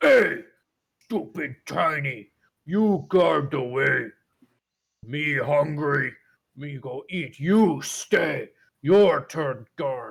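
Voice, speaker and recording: A put-on character voice from a man, fairly high in pitch, at a very slow pace with long, frequent pauses. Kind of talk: crude broken speech. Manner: bossy.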